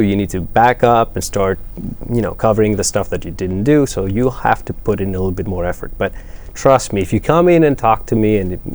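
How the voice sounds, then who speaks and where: Noticeable background noise sits behind this man. He speaks at a fairly quick pace with a fairly low pitch. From Greece, Athens. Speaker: math professor. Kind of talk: interview. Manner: hesitant, with fillers.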